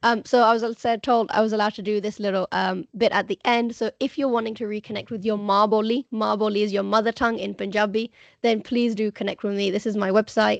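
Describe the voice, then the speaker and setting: Very fast and with hardly any pauses, the monotone, flat delivery comes through dry and close with no echo over a quiet background. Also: woman. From UK. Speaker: Punjabi language teacher. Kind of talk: online presentation. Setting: video call.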